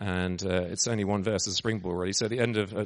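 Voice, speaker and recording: An English accent comes through. The voice belongs to a man. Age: 40s. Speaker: missionary preacher. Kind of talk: sermon. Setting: church.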